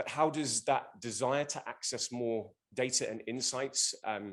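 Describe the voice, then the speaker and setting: The voice belongs to a man with a London accent. His pitch is medium. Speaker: business executive, conference speaker. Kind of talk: conference presentation.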